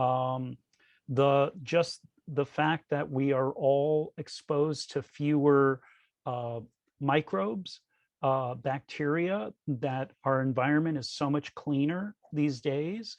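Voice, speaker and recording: Recorded with a dry, close sound with no echo, a man talks at a very slow pace in a fairly high pitch with ordinary pitch variation. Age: 60s. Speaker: author. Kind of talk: panel discussion. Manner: halting.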